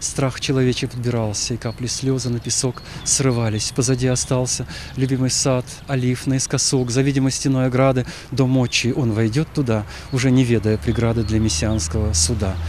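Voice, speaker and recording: A man talks at a moderate pace with a medium pitch, ordinary pitch variation and very even loudness. Noticeable background noise sits behind him. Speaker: Orthodox archpriest. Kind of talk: poetry reading.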